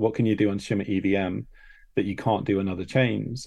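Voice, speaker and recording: Over a quiet background, a man with a fairly low pitch speaks in a dark, mellow tone marked by vocal fry. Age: 30s. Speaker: crypto project founder. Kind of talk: casual chat.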